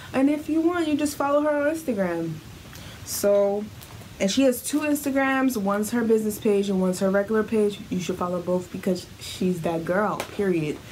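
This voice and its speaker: At a moderate pace, a woman speaks with very wide pitch swings over light background noise. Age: 20s. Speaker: beauty vlogger. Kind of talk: unboxing review. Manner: casual, chatty. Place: home room.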